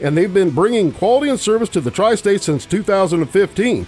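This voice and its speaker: Music plays in the background as a man speaks. His pitch is high for a man, and his tone is relaxed. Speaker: radio host. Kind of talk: casual radio interview chat. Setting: studio. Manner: jokey, relaxed, chatty.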